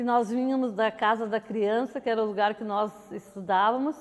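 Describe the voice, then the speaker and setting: A woman talks at a moderate pace in a high voice. The recording is very clean, its background silent. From southern Brazil, Cachoeira do Sul. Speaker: neighborhood resident. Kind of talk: interview testimony.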